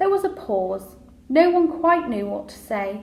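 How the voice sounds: A woman at a fairly high pitch, fairly slow, with big pitch swings, vocal fry and audible room echo.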